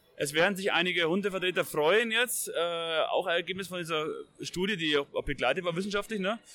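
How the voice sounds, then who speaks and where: A man with a Bavarian accent talks at a fairly quick pace. His voice is high-pitched with ordinary pitch variation. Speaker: hunting magazine editor. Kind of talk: casual discussion. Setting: trade fair.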